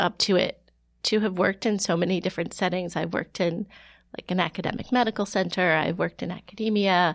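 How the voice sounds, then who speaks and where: On a very clean recording with a silent background, a woman with an American accent speaks at a medium pitch with ordinary variation, the sound dry and close with no echo. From Ohio. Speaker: health researcher. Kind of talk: interview. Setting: studio.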